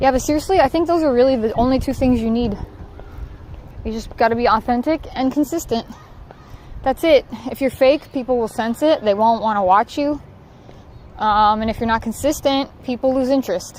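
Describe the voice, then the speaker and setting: In an American accent, the speaker moves at a fairly quick pace with ordinary pitch variation, broken by long, frequent pauses. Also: woman, high pitch for a woman. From Southern California. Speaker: livestreamer. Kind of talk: casual chat. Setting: outdoors in a park.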